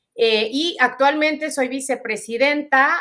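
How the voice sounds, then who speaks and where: A woman with a strong Mexican accent, a bright, sharp tone and a fairly slow pace. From Mexico. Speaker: lawyer, human rights advocate. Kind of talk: interview.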